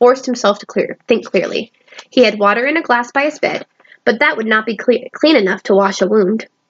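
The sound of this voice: Behind the speech, the background is quiet. It is an unforced reading voice.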